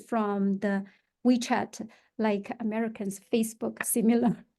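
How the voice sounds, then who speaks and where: Over a quiet background, a woman speaks with a Chinese accent and a fairly high pitch. Her tone is dark and mellow, and her intonation fairly even. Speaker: real estate agent. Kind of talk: podcast interview. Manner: halting, many fillers.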